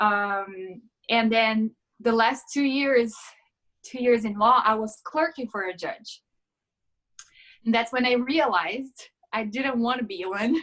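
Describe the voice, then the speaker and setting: With a Portuguese accent, a woman speaks at a fairly high pitch and a fairly slow pace, using ordinary pitch variation and long, frequent pauses. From Brazil, São Paulo state. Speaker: yoga instructor, former lawyer. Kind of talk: casual interview.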